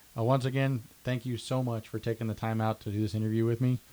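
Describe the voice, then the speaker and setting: This man speaks rather quickly. His delivery stays flat and monotone. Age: 30s. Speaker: podcast host. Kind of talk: interview.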